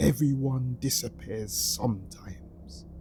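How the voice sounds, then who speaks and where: Putting on a character voice, a man speaks at a fairly slow pace and a fairly low pitch, with very wide pitch swings and clear background noise. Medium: read story. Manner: evasive, quietly unsettling.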